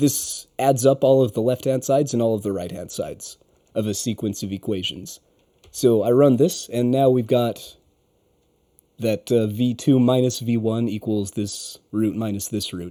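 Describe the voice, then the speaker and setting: A dark, mellow tone with ordinary pitch variation. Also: man, medium pitch for a man, moderate pace. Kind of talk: software tutorial walkthrough. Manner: casual, explanatory.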